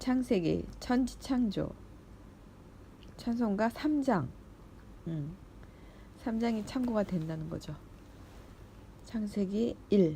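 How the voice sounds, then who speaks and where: A woman speaks at medium pitch in a dark, mellow tone that is somewhat breathy. Her pace is very slow, with long, frequent pauses and lively intonation. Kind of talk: reading aloud Bible commentary with personal remarks. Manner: halting with self-corrections.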